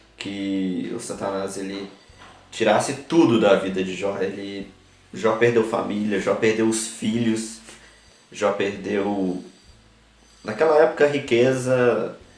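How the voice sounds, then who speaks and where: Amid noticeable background noise and audible room echo, a man speaks at a fairly low pitch with ordinary pitch variation. His pace is very slow, broken by long, frequent pauses. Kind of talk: religious talk to camera. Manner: halting.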